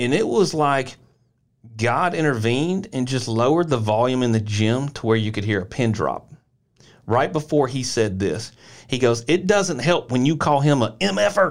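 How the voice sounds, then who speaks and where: The recording is very clean, with a silent background. A man with a Tennessee accent speaks with lively intonation. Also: medium pitch for a man, moderate pace. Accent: Southern US (Tennessee). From rural Middle Tennessee, US South. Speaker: podcast co-host, former basketball player. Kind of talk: casual chat.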